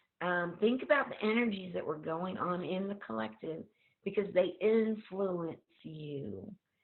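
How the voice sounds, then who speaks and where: An ordinary speaking voice from a woman, at a fairly slow pace with lively intonation. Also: medium pitch for a woman. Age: 50s. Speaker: holistic coach and co-host. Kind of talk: casual group discussion on video call. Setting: video call.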